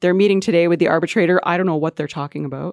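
A woman with an ordinary speaking voice, fairly low in pitch and with ordinary pitch variation, is heard in a dry, close sound with no echo on a very clean recording with a silent background. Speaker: education reporter. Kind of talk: casual panel discussion.

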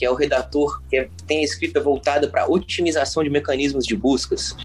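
A man speaks at a fairly quick pace. Behind him, background noise is noticeable. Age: 30s. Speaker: son of the main guest, LinkedIn user. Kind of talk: casual chat.

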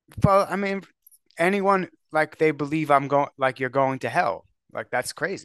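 Dry and close with no echo, a man's fairly high voice moves at a moderate pace with ordinary pitch variation in a plain, everyday voice. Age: 40s. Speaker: podcaster. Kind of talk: casual chat.

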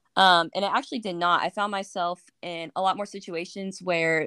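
At a moderate pace comes a plain, everyday voice. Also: woman. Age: 20s. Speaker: graduate student and military member. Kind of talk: casual chat.

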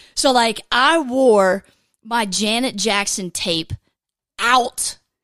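A woman with a Southern US accent speaks in an animated tone at a fairly high pitch, with ordinary pitch variation, on a very clean recording with a silent background. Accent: Southern American. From US South, Georgia. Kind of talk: casual devotional monologue.

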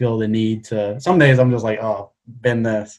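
A man with a Welsh accent speaks in a flat monotone at a medium pitch. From Wales, Cardiff. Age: 20s. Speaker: illustrator. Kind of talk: casual chat.

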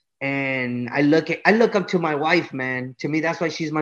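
Against a quiet background, a man with an American accent talks at a fairly quick pace in a fairly high pitch, with ordinary pitch variation. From Los Angeles, California, and Michoacan, Mexico. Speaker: musician, cumbia singer. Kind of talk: casual interview chat. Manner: animated, repetitive filler speech.

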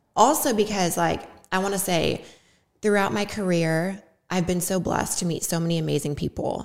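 At a moderate pace, a woman talks in an unremarkable speaking voice of medium pitch with ordinary pitch variation. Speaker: podcast host, fitness influencer. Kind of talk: casual interview chat. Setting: video podcast recording.

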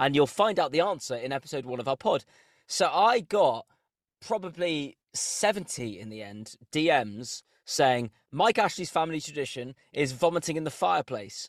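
A man with a fairly high pitch makes very wide pitch swings and big swings in loudness, in a dry, close sound with no echo. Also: moderate pace. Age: 30s. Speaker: football podcast host. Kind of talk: casual chat. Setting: in a car.

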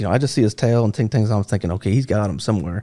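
A man with an American accent speaks with lively intonation at a fairly low pitch, on a very clean recording with a silent background. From upstate New York. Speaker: police K9 handler and trainer. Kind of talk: storytelling interview. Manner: animated.

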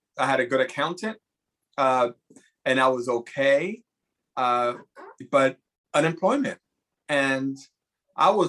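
Pitched fairly high, a man speaks at a moderate pace with an American accent and a bright, sharp tone. He leaves long, frequent pauses. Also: ordinary pitch variation. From New York, the Bronx. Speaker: Broadway costume designer. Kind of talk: casual chat.

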